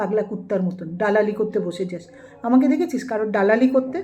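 Over noticeable background noise, a woman with a fairly high pitch sounds animated, her pitch varying in an ordinary way. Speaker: YouTube vlogger. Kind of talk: angry rant.

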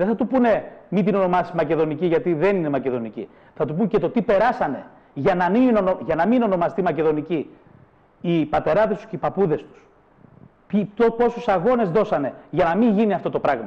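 The speaker's tone is animated, with lively intonation. The pace is moderate. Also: man, high pitch for a man. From northern Greece. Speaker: president of a cultural associations federation; guest. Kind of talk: heated debate; interview answer, political argument. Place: studio. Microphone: lapel.

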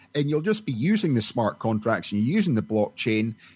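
Over a silent background in a very clean recording, a man talks at a fairly quick pace with a medium pitch. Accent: Scottish. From Scotland. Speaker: oil and gas company executive. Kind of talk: interview.

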